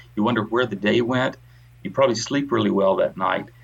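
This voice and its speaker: A man at a medium pitch with an American accent, speaking at a very fast pace. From US South. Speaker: retired professor. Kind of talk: casual chat.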